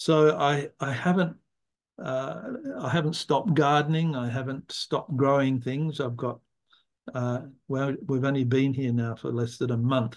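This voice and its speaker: Here a man talks in a medium pitch with an Australian accent. His pace is moderate and his intonation fairly even. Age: 70s. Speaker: environmental philosopher. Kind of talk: interview. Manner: halting.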